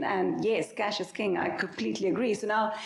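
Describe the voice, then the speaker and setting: The woman talks at a fairly quick pace. Noticeable background noise and audible room echo fill the recording. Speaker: startup founder and CEO. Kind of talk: panel discussion.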